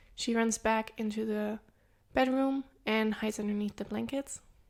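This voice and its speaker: A woman at a fairly high pitch and moderate pace, fairly even intonation, on a very clean recording with a silent background. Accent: non-native. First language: not English. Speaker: true crime podcast co-host. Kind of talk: case narration; casual podcast chat. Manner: hesitant, many filler sounds.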